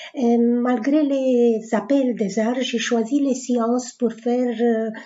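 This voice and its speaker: A woman speaks at a very slow pace in a high pitch. Her intonation stays monotone and flat. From Romania (Bucharest). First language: Romanian (speaking French). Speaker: writer. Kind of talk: self-presentation. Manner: hesitant, with frequent fillers.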